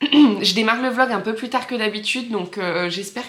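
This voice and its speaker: A woman talks at a fairly slow pace with a fairly high pitch and ordinary pitch variation. Noticeable background noise runs underneath. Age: 30s. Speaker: knitting vlogger. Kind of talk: casual vlog chat. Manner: hesitant, many fillers.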